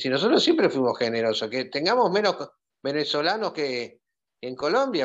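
A man speaks at a very fast pace. His pitch sits fairly high. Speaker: doctor and journalist. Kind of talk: panel discussion.

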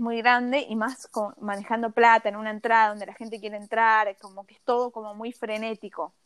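Hardly pausing, a woman talks at a fairly quick pace and fairly high pitch, her intonation monotone and flat while her loudness swings widely. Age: 20s. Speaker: cosmetologist and skincare influencer. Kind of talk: casual interview.

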